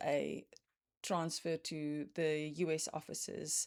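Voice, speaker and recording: A woman's very deep, low voice with a South African accent at a very slow pace, dry and close with no echo, very clean recording over a silent background. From South Africa, Cape Town. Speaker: cross stitch vlogger. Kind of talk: casual chat. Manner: hesitant, many fillers.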